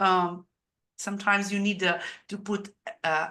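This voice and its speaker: With a Serbian accent, the speaker has a bright, sharp tone and a fairly slow pace. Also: woman. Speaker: author. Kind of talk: interview. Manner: halting.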